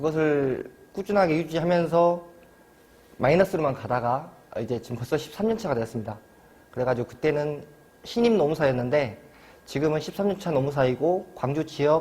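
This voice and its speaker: A man's fairly high voice in a strong Jeolla accent, lively in intonation, with long, frequent pauses. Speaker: labor attorney. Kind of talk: lecture. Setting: university study room.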